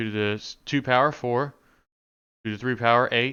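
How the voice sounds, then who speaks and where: A man speaks at a very fast pace. His voice sits at medium pitch. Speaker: networking instructor. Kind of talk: tutorial. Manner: casual, conversational.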